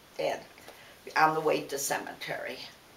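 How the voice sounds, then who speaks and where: A woman talks at a moderate pace in an American accent. Both audible room echo and noticeable background noise come through. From US Midwest, Detroit. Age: 90s. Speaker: interviewee, family elder. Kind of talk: oral history interview.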